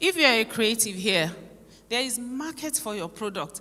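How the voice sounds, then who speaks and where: Noticeable background noise sits behind a woman's voice. She speaks fairly quickly at a fairly high pitch. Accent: Nigerian. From Nigeria. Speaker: conference speaker. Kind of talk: conference speech.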